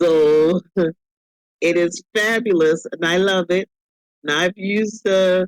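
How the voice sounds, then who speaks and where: The delivery is very slow, in a Southern US accent. Long, frequent pauses run through it. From US South. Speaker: podcast co-host. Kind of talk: casual chat.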